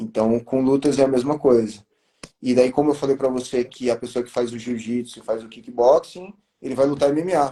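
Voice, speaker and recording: A man's dark, mellow voice at medium pitch, with ordinary pitch variation and a moderate pace. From São Paulo state interior, Brazil. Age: 40s. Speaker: martial arts instructor. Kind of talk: interview. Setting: livestream.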